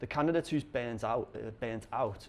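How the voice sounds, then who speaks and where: A man speaks with a Liverpool accent and fairly even intonation. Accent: Scouse. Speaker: conference speaker on recruitment. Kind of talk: conference talk. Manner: halting, many fillers.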